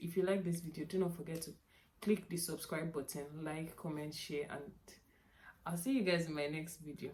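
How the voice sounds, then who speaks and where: Somewhat breathy, a woman speaks at a fairly quick pace with a fairly low pitch and fairly even intonation. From Nigeria (Yoruba). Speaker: youtuber. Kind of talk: casual vlog chat. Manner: repetitive, self-correcting.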